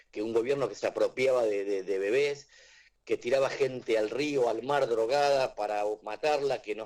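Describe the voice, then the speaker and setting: Speaking with an Argentine accent, a man keeps a moderate pace. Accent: Rioplatense Argentine Spanish. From Argentina. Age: 60s. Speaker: author and teacher. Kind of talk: radio interview. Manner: hesitant, repeats words.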